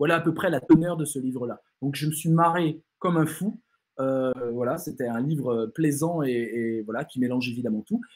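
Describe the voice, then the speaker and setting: In a quiet background, a man speaks at a moderate pace with a fairly high pitch and ordinary pitch variation. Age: 40s. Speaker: philosopher and writer giving a talk; speaker. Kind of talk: online lecture with Q&A. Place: home room.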